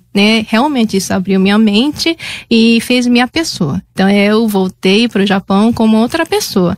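In a Japanese accent, a woman speaks at a moderate pace with fairly high pitch, ordinary pitch variation, and very even loudness. The background is quiet and the sound is dry, with no echo. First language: Japanese (speaking Portuguese). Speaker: master's student; guest. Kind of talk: radio interview. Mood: warm, nostalgic. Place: studio. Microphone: studio mic.

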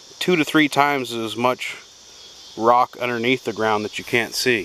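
Speaking at a fairly slow pace with fairly even intonation, a man with an American accent is heard in a dry recording with no echo and light background noise. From Kansas. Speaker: outdoors video creator. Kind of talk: casual vlog narration. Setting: outdoors. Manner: casual, hesitant. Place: open country. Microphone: phone near.

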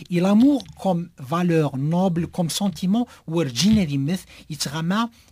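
Over light background noise, a man with a high pitch and a dark, mellow tone talks at a fairly slow pace with lively intonation. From Algeria. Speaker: writer and poet. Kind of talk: radio interview. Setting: radio studio. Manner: halting with repetitions.

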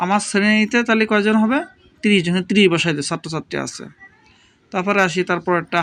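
The man's voice has a bright, sharp tone and a high pitch. His pitch varies in an ordinary way. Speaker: English teacher. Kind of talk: tutorial.

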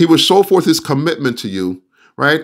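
Behind the speech, everything is quiet. The man's pitch swings very widely up and down. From Jamaica. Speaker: pastor; preacher. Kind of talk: sermon. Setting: video call. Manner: hesitant, many fillers. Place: home room. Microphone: studio mic.

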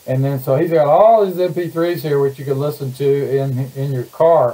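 The pace is moderate. A man talks with ordinary pitch variation. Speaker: online show host. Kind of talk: casual livestream introduction. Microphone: webcam.

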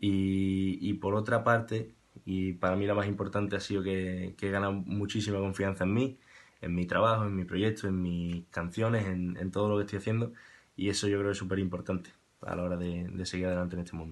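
Delivered at a fairly quick pace, a man's very deep, low voice stays monotone and flat. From Andalusia, Spain (Seville). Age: 20s. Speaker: musician. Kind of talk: testimonial. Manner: halting, repeats words. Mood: warm, grateful. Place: home room. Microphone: webcam.

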